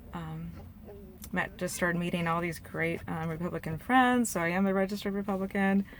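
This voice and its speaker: A woman with an American accent, medium pitch, a fairly quick pace and fairly even intonation. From Portland, Oregon. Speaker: political vlogger. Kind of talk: testimony. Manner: rambling with many fillers.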